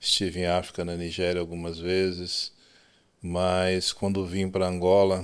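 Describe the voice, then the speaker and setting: A man with a Brazilian accent, very deep and low in pitch, monotone and flat, at a very slow pace, on a very clean recording with a silent background. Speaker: telecom engineer. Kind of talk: podcast interview.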